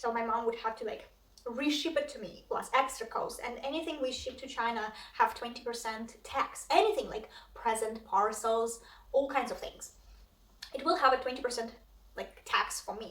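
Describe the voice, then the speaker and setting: A high-pitched woman with a Russian accent speaks at a moderate pace and ordinary pitch variation, with noticeable background noise and audible room echo. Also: big swings in loudness. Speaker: cross stitch vlogger. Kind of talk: casual vlog chat. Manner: hesitant, many fillers.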